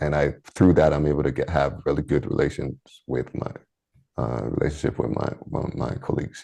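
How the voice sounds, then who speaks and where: At a fairly quick pace, a man speaks with a very deep, low pitch, a dark, mellow tone, vocal fry and ordinary pitch variation. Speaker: engineer. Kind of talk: interview. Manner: halting, many fillers and restarts.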